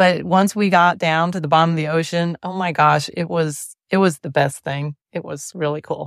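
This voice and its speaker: In a very clean recording with a silent background and a dry, close sound with no echo, a woman speaks in a normal speaking voice at a moderate pace, fairly low in pitch, with fairly even intonation and hardly any pauses. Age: 60s. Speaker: fitness program member. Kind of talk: casual interview chat.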